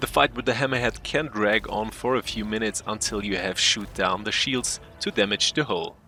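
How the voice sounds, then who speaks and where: A man's fairly low, bright, sharp voice with a non-native accent, at a moderate pace with hardly any pauses and fairly even intonation. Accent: non-native English accent, self-described. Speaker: gaming youtuber. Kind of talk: tutorial; scripted narration. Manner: careful, read from script.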